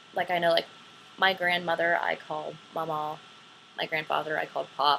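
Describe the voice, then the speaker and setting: Clear background noise accompanies a speaker talking at a moderate speed with an American accent. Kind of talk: casual talk to camera, accent tag answers.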